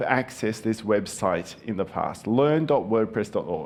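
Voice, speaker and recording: A speaker with a Japanese accent talks at a fairly slow pace. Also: man. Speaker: conference speaker. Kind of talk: conference talk.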